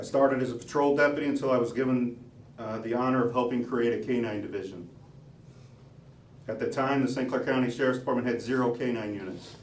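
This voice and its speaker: A man at a very fast pace and medium pitch, with fairly even intonation, audible room echo and noticeable background noise. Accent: American. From US Midwest, southern Illinois (Dupo). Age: 40s. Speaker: police officer and sheriff candidate. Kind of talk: campaign announcement speech. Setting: party headquarters with audience.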